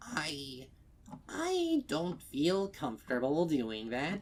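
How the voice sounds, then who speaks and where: Someone in a put-on character voice speaks at a very slow pace with lively intonation. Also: man, fairly high pitch for a man. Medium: read story. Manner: polite, fretful.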